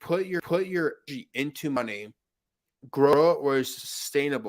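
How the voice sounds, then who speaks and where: At a fairly high pitch, a man with an ordinary speaking voice talks at a moderate pace with lively intonation, in a dry, close sound with no echo. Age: 20s. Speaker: tech entrepreneur. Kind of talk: casual chat. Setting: live video stream.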